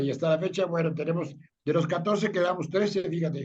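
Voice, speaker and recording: With audible room echo, a man speaks at a high pitch with fairly even intonation. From Mexico City. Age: 60s. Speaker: tech industry veteran. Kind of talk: interview. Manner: fast.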